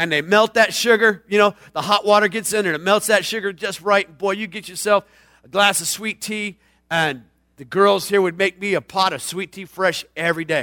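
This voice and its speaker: A raised, projected voice with a bright, sharp tone sounds animated at a moderate pace. Loudness swings widely, and the sound is dry and close with no echo. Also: man, high pitch for a man. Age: 40s. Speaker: pastor. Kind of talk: sermon.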